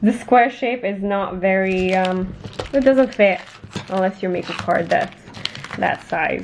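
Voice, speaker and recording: A woman speaks at a fairly slow pace and a medium pitch, with ordinary pitch variation, long, frequent pauses and noticeable background noise. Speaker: crafting youtuber. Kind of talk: casual haul video. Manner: animated.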